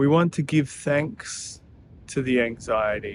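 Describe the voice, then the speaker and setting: Calm tone at a fairly slow pace, with ordinary pitch variation. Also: man. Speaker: meditation guide. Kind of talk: guided meditation. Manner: slow, calm.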